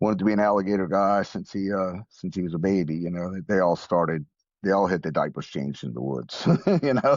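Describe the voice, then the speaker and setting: In a Louisiana accent, a man with a very deep, low voice talks at a very fast pace with lively intonation. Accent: Louisiana Southern US. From US South, New Orleans. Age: 60s. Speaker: grieving widower, veterinarian and flight paramedic. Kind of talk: podcast interview. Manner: halting, repeats words.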